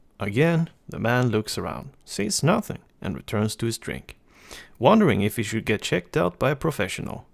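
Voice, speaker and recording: The recording is very clean, with a silent background, as a man speaks at a moderate pace and medium pitch. His pitch swings very widely, and vocal fry comes through. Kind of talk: reading jokes aloud for a microphone test. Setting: recorded on a USB desktop microphone. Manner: calm.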